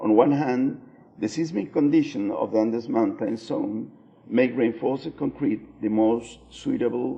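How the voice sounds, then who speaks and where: Speaking at a fairly slow pace, a man talks with a Spanish accent. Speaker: architect. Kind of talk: conference presentation read aloud. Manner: halting, many fillers.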